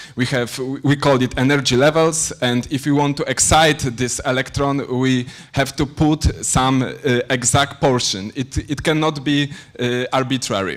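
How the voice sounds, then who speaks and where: With a Polish accent, a man speaks at a medium pitch and a fairly slow pace, keeping his intonation fairly even. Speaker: PhD student lecturer. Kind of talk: lecture. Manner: halting, many fillers.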